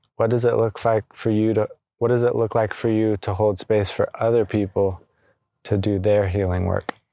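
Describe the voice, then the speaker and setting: A soft-spoken man with a dark, mellow tone in a very clean recording with a silent background. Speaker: energy healer podcast host. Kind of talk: casual reflective conversation on healing.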